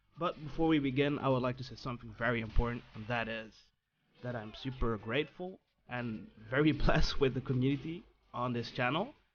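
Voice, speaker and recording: Speaking fairly quickly, a man keeps a medium pitch that varies in an ordinary way. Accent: non-native. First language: non-native English speaker. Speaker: fighting game guide maker. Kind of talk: gaming tutorial narration.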